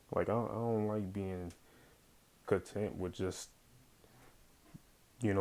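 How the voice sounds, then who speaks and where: Monotone and flat in intonation, a man with a very deep, low pitch speaks at a moderate pace on a very clean recording with a silent background. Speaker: vlogger, warehouse worker. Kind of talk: casual monologue vlog. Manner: halting, many fillers and restarts.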